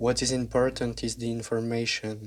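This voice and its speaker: Speaking at a moderate pace, a man with a French accent uses a medium pitch. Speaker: YouTube narrator. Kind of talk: scripted narration.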